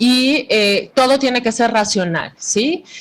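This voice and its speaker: Her pitch fairly high and varying in an ordinary way, a woman talks in an unremarkable speaking voice. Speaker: psychologist and Bible teacher. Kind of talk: lecture.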